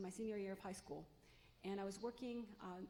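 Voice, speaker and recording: A woman's medium-pitched voice, dark and mellow in tone, with fairly even intonation. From Los Angeles, US (came from Mexico at 3). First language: Spanish. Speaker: college president candidate. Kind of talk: public forum talk.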